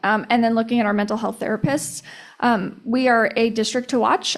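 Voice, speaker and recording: Her fairly high voice moves at a fairly quick pace, and this woman keeps a fairly even intonation. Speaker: school district staff presenter. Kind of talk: board meeting presentation. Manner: fast; frequent fillers and restarts.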